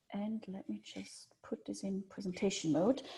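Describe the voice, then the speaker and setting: A woman's dark, mellow tone, somewhat breathy. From Switzerland. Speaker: journal editor. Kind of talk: presentation.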